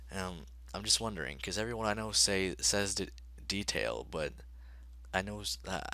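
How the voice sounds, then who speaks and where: A man's very deep, low voice with vocal fry and a bright, sharp tone, very wide pitch swings and a moderate pace. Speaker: gaming youtuber. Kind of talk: let's play commentary. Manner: halting, many fillers; casual.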